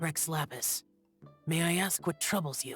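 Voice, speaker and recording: Faint music plays behind a man doing a put-on character voice, fairly high in pitch with fairly even intonation. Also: moderate pace. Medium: video game. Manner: terse, stiff.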